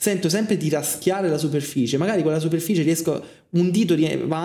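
A man talks at a very fast pace, his voice carrying audible room echo against a quiet background. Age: 20s. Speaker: film student and streamer; streamer. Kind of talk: casual monologue. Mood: reflective, personal. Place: home room.

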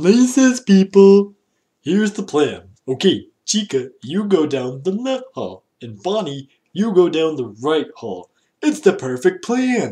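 Putting on a character voice, a man speaks in a high pitch. He keeps a fairly slow pace. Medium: dub. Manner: bossy, irritable.

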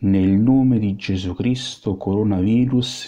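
Very slowly, a man speaks in a fairly low pitch with a solemn, intense tone that is dark and mellow, his pitch varying in an ordinary way. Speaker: exorcist priest. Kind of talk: fervent prayer of liberation, invocation and litany, commanding the virus in God's name. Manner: solemn, intense, commanding, emphatic and ardent; earnest, slow and rhythmic in the litany.

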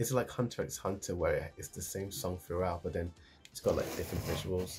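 With faint music in the background, a man speaks at a fairly quick pace. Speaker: anime reaction reviewer. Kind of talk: casual reaction commentary. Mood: cheerful, amused. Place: home room. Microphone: earbuds.

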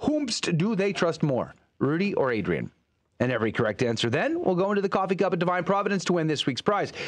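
Against a quiet background, a man with a high pitch speaks at a very fast pace in an animated, upbeat tone, with very wide pitch swings and very even loudness. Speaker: radio host. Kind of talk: radio show hosting, casual chat and interview. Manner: animated, upbeat radio patter. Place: studio. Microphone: studio mic.

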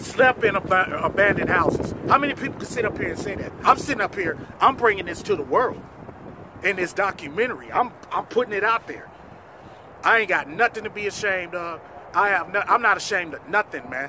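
Speaking at a fairly quick pace, a man uses a high pitch and lively intonation. The sound is dry with no echo, though background noise is noticeable. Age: 40s. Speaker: documentary subject. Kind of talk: personal testimony. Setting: in front of cameras. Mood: earnest, grateful, defiant. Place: open country.

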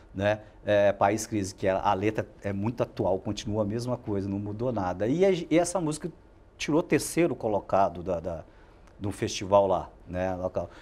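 This man has a dark, mellow tone and a fairly low pitch. He talks at a moderate pace. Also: lively intonation. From Minas Gerais, Brazil. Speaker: football coach. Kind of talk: interview. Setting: studio. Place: studio. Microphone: lapel.

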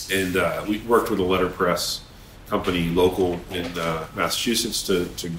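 With an American accent, a man speaks in a monotone, flat intonation at a very deep, low pitch, with audible room echo and light background noise. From Vermont, US. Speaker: web designer; guest. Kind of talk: interview. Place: office.

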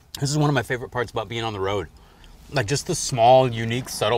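In a dry sound with no echo, a man talks at a very fast pace, somewhat breathy, with lively intonation. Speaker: food show host. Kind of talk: food tasting commentary. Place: car.

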